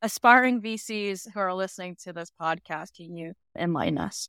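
In a very clean recording with a silent background and a dry, close sound with no echo, a normal speaking voice moves at a moderate pace with ordinary pitch variation. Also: woman. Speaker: podcast co-host, corporate lawyer. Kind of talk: interview.

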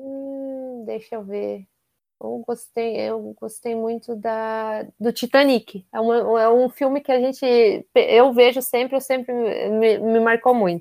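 A woman speaks very slowly in a fairly high pitch, her tone dark and mellow and her intonation monotone and flat, with big swings in loudness. The recording is very clean, silent behind her, and dry and close with no echo. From Brazil, Curitiba. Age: 30s. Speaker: nutritionist. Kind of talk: interview.

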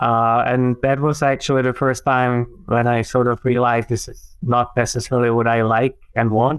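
In a Czech accent, a man speaks at a medium pitch and a moderate pace, monotone and flat, with hardly any pauses against a quiet background. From Czech Republic. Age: 40s. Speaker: professor. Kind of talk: casual interview conversation.

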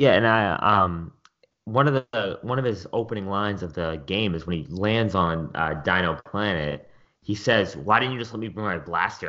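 An unremarkable speaking voice carries ordinary pitch variation. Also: man. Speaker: teacher.

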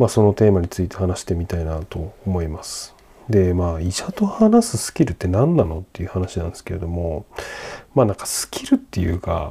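A man talks at a fairly quick pace in a very deep, low pitch, his tone dark and mellow. His voice is somewhat breathy, with big swings in loudness. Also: ordinary pitch variation. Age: 30s. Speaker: podcast host. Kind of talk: solo podcast monologue. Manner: casual, many fillers.

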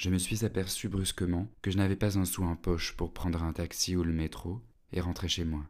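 Over a silent background in a very clean recording, a man with a very deep, low pitch speaks at a moderate pace with fairly even intonation. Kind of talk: literary audiobook reading, first-person narration.

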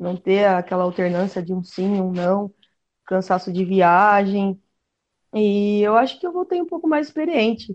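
A woman speaks with a Brazilian accent. Her pace is fairly slow. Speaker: women's flag football player. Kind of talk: casual sports chat.

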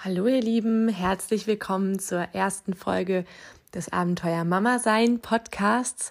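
Using a medium pitch, a woman speaks fairly slowly with ordinary pitch variation. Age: 20s. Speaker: parenting podcast host, new mother. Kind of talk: solo podcast monologue.

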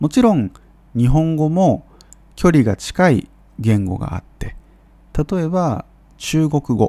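Over a dry, close sound with no echo, a man with a dark, mellow tone speaks at a very slow pace, his pitch swinging very widely between long, frequent pauses. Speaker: Japanese language teacher podcaster. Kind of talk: educational monologue for Japanese learners. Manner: clear, measured with frequent fillers.

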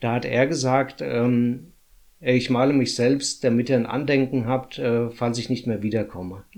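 Speaking at a fairly slow pace, a man holds a medium pitch with fairly even intonation. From Hesse, Germany (Runkel near Limburg). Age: 40s. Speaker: municipal finance employee, descendant of expellees. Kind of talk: interview. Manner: halting, many filler sounds.

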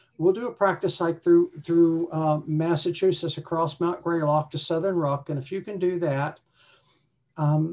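A woman's fairly low-pitched voice with an American accent, dark and mellow in tone, at a moderate pace with fairly even intonation, over a quiet background. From West Virginia, US. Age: 60s. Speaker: retired hiker. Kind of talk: casual interview chat.

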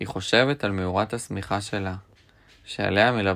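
Someone does plain reading aloud, with ordinary pitch variation.

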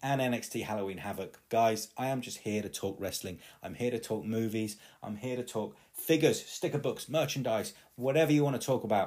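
With an East Midlands accent, a man speaks at medium pitch in an animated tone at a fairly quick pace, with ordinary pitch variation, on a very clean recording with a silent background. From England, East Midlands (Leicester). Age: 30s. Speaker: podcast host. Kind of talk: solo podcast monologue.

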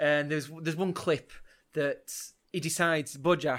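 On a very clean recording with a silent background, a man speaks with a Yorkshire accent. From northern England, Leeds. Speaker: podcast co-host, amateur rugby organiser. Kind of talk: casual chat.

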